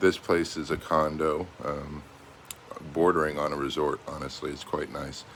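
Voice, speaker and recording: Monotone, flat intonation from a man with a very deep, low pitch and an American accent, at a fairly slow pace. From United States. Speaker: expat travel vlogger. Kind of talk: casual vlog monologue. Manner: hesitant, many fillers.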